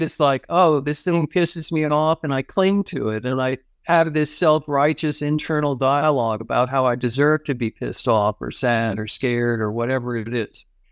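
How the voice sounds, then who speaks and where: A man with an American accent speaks at a moderate pace with hardly any pauses, the sound dry and close with no echo. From grew up abroad (El Salvador, Haiti, Pakistan), US family. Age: 60s. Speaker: psychotherapist and tai chi teacher. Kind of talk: podcast interview. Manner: animated.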